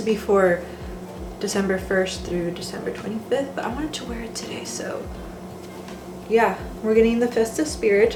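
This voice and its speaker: Speaking at a fairly quick pace, a woman with a fairly high pitch and ordinary pitch variation is heard over noticeable background noise and audible room echo. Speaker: vlogger. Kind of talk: casual cooking vlog. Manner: chatty, casual with fillers.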